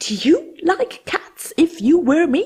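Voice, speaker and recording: In a put-on character voice, the speaker sounds shrill, extremely high-pitched and very slow. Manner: passionate, indignant.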